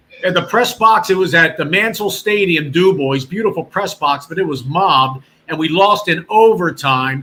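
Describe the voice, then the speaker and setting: With a Virginia accent, a man speaks at a moderate pace in a high pitch with lively intonation and hardly any pauses. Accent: picked up a Virginia. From Delaware County, Pennsylvania. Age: 60s. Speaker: former radio sports announcer. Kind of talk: casual chat. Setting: live stream podcast. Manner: animated.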